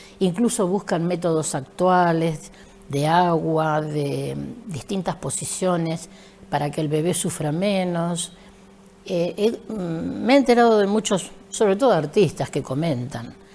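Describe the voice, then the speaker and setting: A woman speaks very slowly in a fairly low voice, with noticeable background noise around her. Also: ordinary pitch variation. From Argentina, San Andrés de Giles (Buenos Aires province). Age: 70s. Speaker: retired school teacher and principal. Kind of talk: interview.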